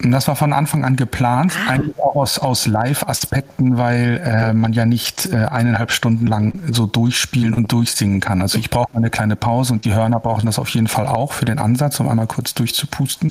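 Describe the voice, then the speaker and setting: A man talking with very even loudness and hardly any pauses over noticeable background noise. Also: medium pitch for a man, ordinary pitch variation, fairly quick pace. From northern Germany, Hamburg. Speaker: opera tenor. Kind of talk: interview. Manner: hesitant, many fillers.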